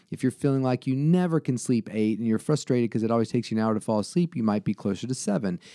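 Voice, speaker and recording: Over a quiet background, a man with an American accent speaks at a very fast pace in a dark, mellow tone, his medium pitch showing ordinary variation and very even loudness, the sound dry and close with no echo. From Southwest Virginia (Salem). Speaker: sleep doctor. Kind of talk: casual interview. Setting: doctor's office.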